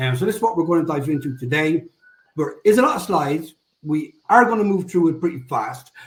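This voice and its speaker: In an Irish accent, a man speaks with a high voice. His intonation is lively. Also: fairly quick pace. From Ireland. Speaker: SEO agency executive. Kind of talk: webinar presentation. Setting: live online webinar.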